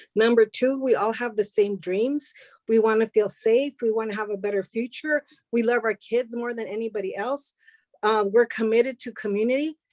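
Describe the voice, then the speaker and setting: A woman in a Spanish accent with a fairly high pitch, fairly even intonation and a moderate pace, in a dry, close sound with no echo. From US, Spanish-speaking family. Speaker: immigrant community advocate. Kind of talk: panel discussion.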